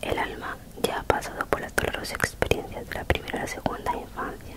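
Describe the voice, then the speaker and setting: A woman whispering at a fairly quick pace. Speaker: reader. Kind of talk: soft reading aloud, ASMR style. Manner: soft semi-inaudible ASMR reading voice. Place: home room. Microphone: handheld.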